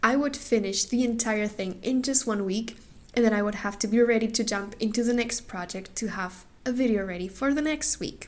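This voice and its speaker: This woman has a non-native accent. She talks at a moderate pace. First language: not English. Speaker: craft youtuber. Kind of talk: casual vlog talk to camera.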